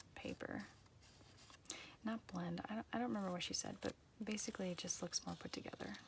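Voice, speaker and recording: A woman whispering at a fairly quick pace. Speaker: journaling vlogger. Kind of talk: casual chat. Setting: home art room. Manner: quiet; halting.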